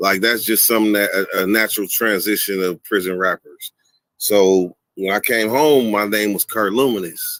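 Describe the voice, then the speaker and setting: In a dry, close, very clean recording with a silent background and no echo, a man with a normal speaking voice and fairly low pitch talks at a moderate pace. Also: fairly even intonation. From Sacramento, California. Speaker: YouTuber, former prisoner. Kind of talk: interview on live stream.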